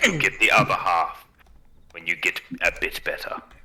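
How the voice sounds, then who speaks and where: A man speaks at a moderate pace with noticeable background noise behind his voice. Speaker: tabletop game player. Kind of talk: casual chat. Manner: hesitant, filler-heavy.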